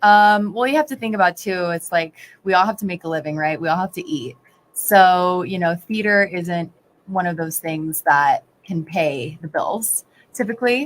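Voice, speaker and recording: A woman with an American accent speaks at a moderate pace, her pitch medium. Her intonation is lively, and hers is an unremarkable speaking voice. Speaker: hairstylist and actress. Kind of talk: casual chat.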